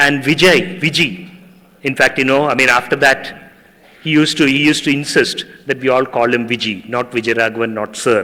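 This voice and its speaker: With a Tamil accent, a man speaks. His pitch variation is ordinary. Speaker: journalist and university teacher. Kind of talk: ceremonial speech.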